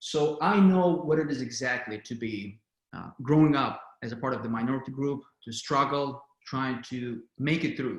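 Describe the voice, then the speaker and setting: A man with a non-native accent speaks at a medium pitch, somewhat breathy, with ordinary pitch variation and big swings in loudness. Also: moderate pace. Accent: foreign. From outside the US. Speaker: political candidate. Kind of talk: candidate answer at town hall. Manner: halting.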